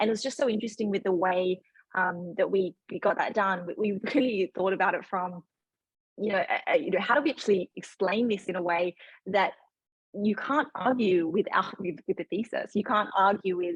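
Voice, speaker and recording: A somewhat breathy woman at medium pitch with an Australian accent, in a dry, close sound with no echo. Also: ordinary pitch variation, moderate pace. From Australia, Sydney. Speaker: fund manager. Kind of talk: panel discussion. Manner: halting, many fillers.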